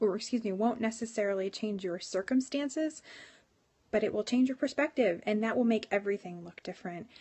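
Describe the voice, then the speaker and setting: A woman speaks at a fairly quick pace in a fairly high, somewhat breathy voice. Her pitch varies in an ordinary way. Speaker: livestreamer and church worship leader. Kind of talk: live stream devotional talk. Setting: live phone stream.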